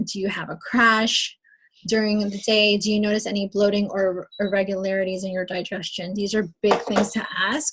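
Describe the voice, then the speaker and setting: Medium pitch, moderate pace and an ordinary speaking voice from a woman. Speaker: fitness coach leading team training. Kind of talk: training call.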